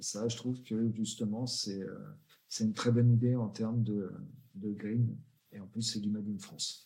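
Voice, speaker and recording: Speaking at a moderate pace with long, frequent pauses, a man uses a medium pitch and a dark, mellow tone in a monotone, flat delivery. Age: 40s. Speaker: founder of a promotional products agency. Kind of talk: interview.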